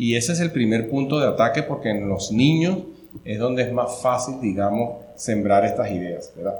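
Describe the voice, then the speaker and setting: A man speaks at a moderate pace with lively intonation and a medium pitch, and the room echo is audible. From Venezuela. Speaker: family-advocacy event organizer. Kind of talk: interview conversation.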